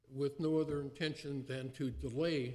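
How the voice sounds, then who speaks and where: In a room with audible echo, a man talks fairly slowly, his fairly high voice carrying a dark, mellow tone. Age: 80s+. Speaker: city council member. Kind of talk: council meeting speech. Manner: halting, many fillers.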